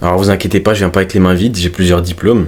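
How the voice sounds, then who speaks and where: Over noticeable background noise, a man speaks in a very deep, low pitch with monotone, flat intonation. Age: 20s. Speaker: fitness coach and self-improvement youtuber. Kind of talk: casual vlog monologue. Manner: natural, unpolished.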